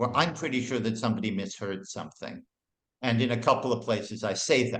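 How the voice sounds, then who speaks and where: A man with a plain, everyday voice speaks at a moderate pace and medium pitch with fairly even intonation. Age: 60s. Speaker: music historian and author. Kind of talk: interview.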